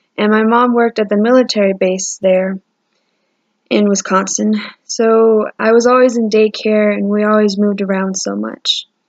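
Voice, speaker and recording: A woman speaks with an American accent. Her pitch is fairly high and her intonation monotone and flat. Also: moderate pace. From Texas. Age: 20s. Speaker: college student. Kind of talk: personal introduction video. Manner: casual with hesitations.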